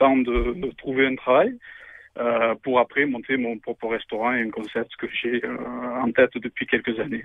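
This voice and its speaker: The intonation stays fairly even as the words come at a fairly slow pace. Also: man. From Alpes-de-Haute-Provence, southern France. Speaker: radio show caller, amateur cook. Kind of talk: radio interview. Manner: hesitant, many fillers.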